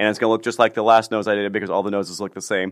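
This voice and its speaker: In a fairly low pitch and with an American accent, a man speaks over a quiet background. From US Midwest (small-town Illinois near St. Louis). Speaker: plastic surgeon. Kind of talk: casual interview. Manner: halting, many fillers and restarts.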